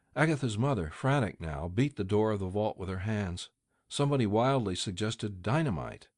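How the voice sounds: Lively intonation marks a natural reading voice, and the background stays quiet.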